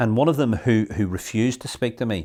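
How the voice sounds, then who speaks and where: A man with a Northern Irish accent talks at a moderate pace with lively intonation, on a very clean recording with a silent background. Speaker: local councillor. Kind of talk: interview testimony.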